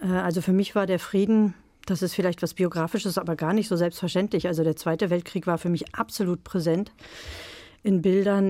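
This woman's voice sits at a medium pitch, with a dark, mellow tone and fairly even intonation. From eastern Germany, Brandenburg. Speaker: novelist. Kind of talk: interview and reading aloud. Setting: radio studio.

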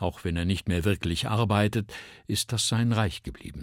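Somewhat breathy, a man speaks at a fairly slow pace with lively intonation. The recording is very clean, and the background is silent. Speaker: radio narrator and voice actor. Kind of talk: literary reading. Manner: clear standard German articulation.

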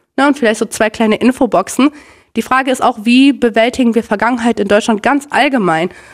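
Speaking fairly quickly, a woman with an ordinary speaking voice uses a fairly high pitch and ordinary pitch variation. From Germany, North Rhine-Westphalia (Minden). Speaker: Sinti activist and university student. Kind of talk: interview.

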